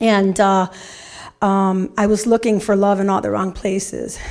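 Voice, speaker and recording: In an American accent, a woman talks at a moderate pace. Her pitch is medium and her intonation is monotone and flat. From Chicago. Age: 50s. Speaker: ministry program graduate. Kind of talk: testimony.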